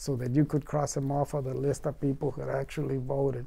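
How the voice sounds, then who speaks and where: A man's dark, mellow tone at a fairly high pitch, with monotone, flat intonation. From Mexico. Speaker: farmworker movement organizer. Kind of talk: oral history interview answer. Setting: interview recording. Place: studio.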